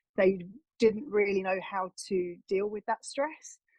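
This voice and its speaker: Recorded with a dry, close sound and no echo, a woman with an English accent speaks at a moderate pace. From England. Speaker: wellness coach. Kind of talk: interview. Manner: hesitant, with frequent fillers.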